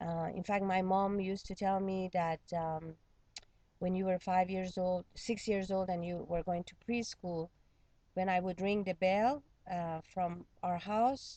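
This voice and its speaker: A woman's medium-pitched voice, dark and mellow in tone, at a fairly slow pace with fairly even intonation. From Iran. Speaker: psychotherapist. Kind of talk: interview.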